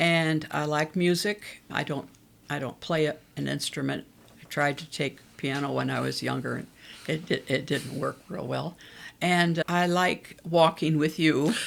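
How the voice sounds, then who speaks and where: A woman with a very deep, low pitch and vocal fry speaks at a fairly slow pace with fairly even intonation. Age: 80s+. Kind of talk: casual interview chat. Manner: talkative.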